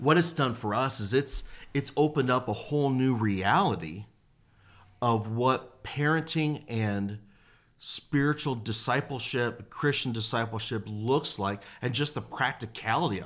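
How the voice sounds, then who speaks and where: A man with a normal speaking voice and an American accent talks at a fairly slow pace and medium pitch, with ordinary pitch variation. The recording is very clean, with a silent background. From Detroit, Michigan. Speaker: youth pastor. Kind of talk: casual chat. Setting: studio.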